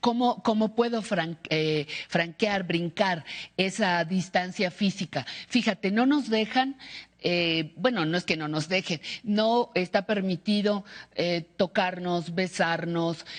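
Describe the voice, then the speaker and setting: A woman's medium-pitched voice at a very slow pace, with ordinary pitch variation and a quiet background. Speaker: TV host. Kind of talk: TV interview.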